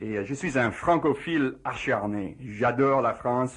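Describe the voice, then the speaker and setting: The speaker has an English accent. The delivery is fairly slow. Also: man. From USA. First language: English (speaking French). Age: 40s. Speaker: physicist. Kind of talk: radio interview. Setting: radio studio. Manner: halting, many hesitations.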